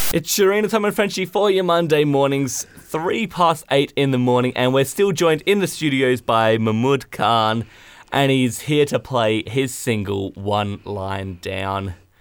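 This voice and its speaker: With an Australian accent, a man speaks at medium pitch, his voice making very wide pitch swings. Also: fairly slow pace, hardly any pauses. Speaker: radio host. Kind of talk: casual radio chat. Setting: studio.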